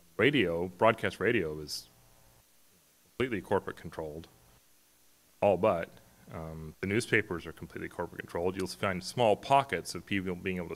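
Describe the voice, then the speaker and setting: Speaking at a fairly quick pace with long, frequent pauses, a man with a very deep, low pitch uses ordinary pitch variation while his loudness swings a lot. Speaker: conference speaker. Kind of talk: conference talk. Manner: halting.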